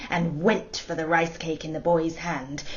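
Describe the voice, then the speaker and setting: A woman's fairly low-pitched voice. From Hong Kong. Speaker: storyteller, actor. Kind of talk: personal introduction; bedtime story telling.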